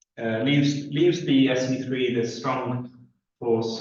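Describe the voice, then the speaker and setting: A man at a medium pitch and a very slow pace, with audible room echo. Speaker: physics lecturer. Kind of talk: lecture. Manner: halting, many fillers.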